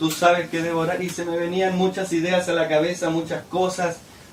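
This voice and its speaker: Noticeable background noise and audible room echo surround a man speaking at a moderate pace. His pitch is high. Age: 20s. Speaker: missionary preacher. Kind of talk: sermon. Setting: church service.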